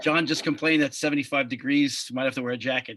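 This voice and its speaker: A fairly high-pitched man with a strong Long Island accent, bright, sharp tone and very fast pace. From Long Island, New York. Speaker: podcast host. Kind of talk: casual chat.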